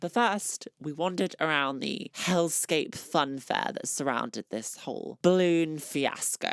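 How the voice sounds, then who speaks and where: A woman's very deep, low voice with a British accent, lively intonation and a fairly slow pace, hardly any pauses, in a very clean recording with a silent background and a dry, close sound with no echo. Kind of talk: comedic vlog narration.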